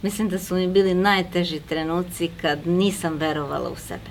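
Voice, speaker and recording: A woman with a fairly low voice talks at a moderate pace. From Serbia. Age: 60s. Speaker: network marketing manager. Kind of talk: interview.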